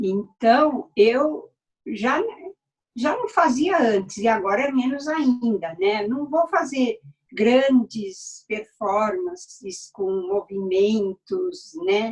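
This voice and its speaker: A woman talks very slowly, her high pitch swinging very widely. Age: 70s. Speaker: dancer and performer. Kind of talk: casual chat. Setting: video call. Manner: halting.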